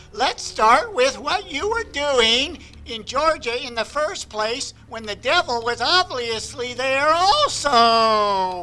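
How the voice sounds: Over clear background music, a man does a put-on character voice at an extremely high pitch and a very slow pace.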